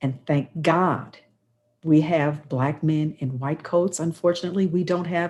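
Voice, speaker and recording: Somewhat breathy, a woman speaks at a fairly low pitch against a quiet background. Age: 60s. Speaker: radio talk show host. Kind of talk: talk radio panel introduction. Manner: animated.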